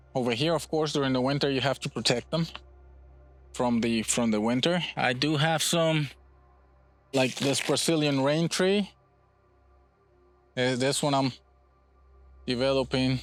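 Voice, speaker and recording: A man at a moderate pace, with long, frequent pauses, very even loudness, and music in the background. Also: medium pitch for a man, ordinary pitch variation. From Puerto Rico. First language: Spanish. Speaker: bonsai nursery owner. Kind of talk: casual interview during nursery tour.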